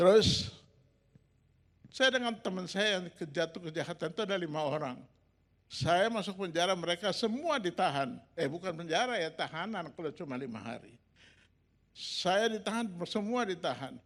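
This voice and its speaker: A man with an animated tone and lively intonation, high in pitch, at a moderate pace over a quiet background. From Makassar, Indonesia. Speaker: pastor. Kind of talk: sermon testimony. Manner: animated storytelling.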